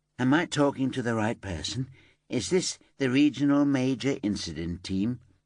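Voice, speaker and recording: Doing a put-on character voice in a South Yorkshire accent, a man talks nasally at a medium pitch and moderate pace with lively intonation over a quiet background. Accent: broad Bradfield. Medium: read story. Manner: chatty, gossipy.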